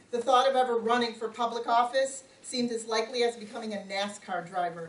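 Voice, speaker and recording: Amid noticeable background noise, a woman with an American accent and fairly high pitch speaks at a very fast pace with fairly even intonation. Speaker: local politician. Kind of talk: campaign speech. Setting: community forum with audience, no microphone.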